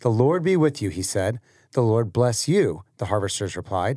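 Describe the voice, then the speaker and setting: With lively intonation and a fairly quick pace, a man talks in a normal speaking voice on a very clean recording with a silent background. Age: 30s. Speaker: pastor. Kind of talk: casual chat. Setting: studio.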